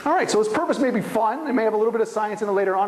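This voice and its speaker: Over noticeable background noise, the speech rushes along at a very fast pace. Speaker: conference speaker on science journalism. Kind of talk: lecture. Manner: informal.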